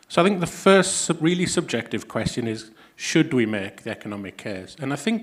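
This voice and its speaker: Fairly quick, fairly high-pitched speech from a man with a northeast England accent and very wide pitch swings. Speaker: health economist, academic. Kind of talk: conference talk. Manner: hesitant, many fillers.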